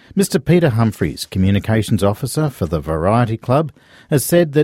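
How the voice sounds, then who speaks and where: A man with an Australian accent and a dark, mellow tone makes very wide pitch swings, in a very clean recording with a silent background and a dry, close sound with no echo. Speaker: radio host. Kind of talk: news reading.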